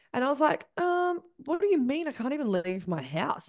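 A woman speaks with a New Zealand accent and an animated tone. Her intonation is lively, and the background is quiet. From New Zealand, Christchurch. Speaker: spiritual business coach. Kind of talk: casual interview chat.

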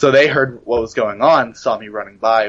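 Speaking at a moderate pace, a man with medium pitch keeps a fairly even intonation. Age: 20s. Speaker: shooting survivor. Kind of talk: interview. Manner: hesitant, many fillers.

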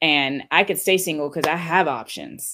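In an American accent, a woman with an ordinary speaking voice talks at a fairly low pitch with ordinary pitch variation, on a very clean recording with a silent background. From California. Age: 30s. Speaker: DJ. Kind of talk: casual chat.

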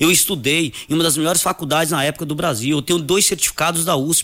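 A man's bright, sharp, fairly high voice at a very fast pace. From Brazil, Northeast (Coité do Nóia, Alagoas). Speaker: personal trainer and gym owner. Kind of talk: radio interview.

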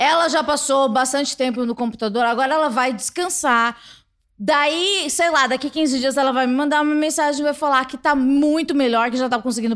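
Her high-pitched voice, with ordinary pitch variation, carries this woman's speech at a moderate pace. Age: 30s. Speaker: podcast host. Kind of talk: casual interview. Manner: laughs often.

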